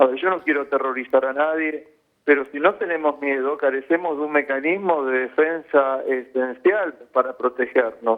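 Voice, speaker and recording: A man with an unremarkable speaking voice, fairly high in pitch, with fairly even intonation at a moderate pace. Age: 60s. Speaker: intensive care physician. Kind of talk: news interview.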